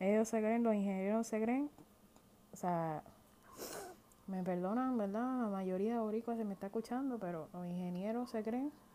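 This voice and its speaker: With a Puerto Rican accent, a woman speaks at a fairly high pitch in a dark, mellow tone, at a moderate pace with ordinary pitch variation and long, frequent pauses. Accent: Puerto Rican Spanish, mistaken for Irish. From Puerto Rico. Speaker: podcast host. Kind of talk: casual monologue.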